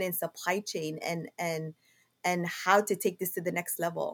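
A woman speaks with a Somali accent at medium pitch and a moderate pace. Her intonation is fairly even, and the recording is very clean with a silent background. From Somalia, Mogadishu. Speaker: logistics business owner. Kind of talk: interview. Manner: halting.

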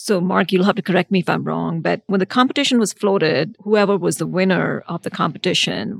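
A woman's fairly low voice with vocal fry, a fairly quick pace and ordinary pitch variation, in a very clean, dry, close recording with a silent background and no echo. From India. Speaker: architect. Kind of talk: live interview at a conference. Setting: conference venue, recorded live.

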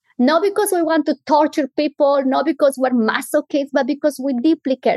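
The pace is moderate. The sound is dry and close, with no echo. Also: woman. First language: not English. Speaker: clinical psychologist. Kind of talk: interview.

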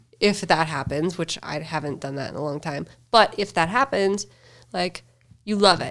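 A woman with an American accent speaks at a moderate pace in a plain, everyday voice, fairly low in pitch, with lively intonation and big swings in loudness. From US Upper Midwest (Fargo, North Dakota). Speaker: entrepreneur. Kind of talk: casual interview.

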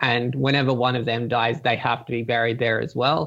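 Speaking with an Australian accent, a man keeps a fairly quick pace. His pitch sits in the medium range. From Australia, Gold Coast. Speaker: podcast listener sharing a fan theory. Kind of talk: casual interview. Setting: Skype call.

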